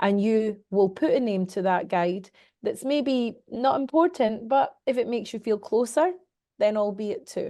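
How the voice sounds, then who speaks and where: A woman with a Scottish accent, fairly high in pitch, with ordinary pitch variation and a moderate pace. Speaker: medium and mentor. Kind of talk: interview answer.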